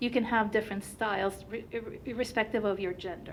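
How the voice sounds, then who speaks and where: A woman in a Turkish accent, with audible room echo. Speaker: company founder and researcher. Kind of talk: conference presentation.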